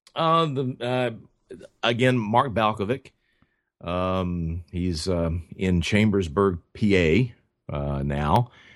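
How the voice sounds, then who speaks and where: The speaker talks at a very slow pace with a Tennessee accent and lively intonation. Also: man, fairly low pitch for a man. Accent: Southern US (Tennessee). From West Tennessee, US South. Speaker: pipe maker. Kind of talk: interview. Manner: halting, many fillers and repeats.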